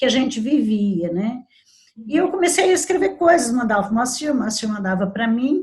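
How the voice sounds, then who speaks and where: A woman speaks with very wide pitch swings. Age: 60s. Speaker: labor lawyer and debut author. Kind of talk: interview. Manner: halting.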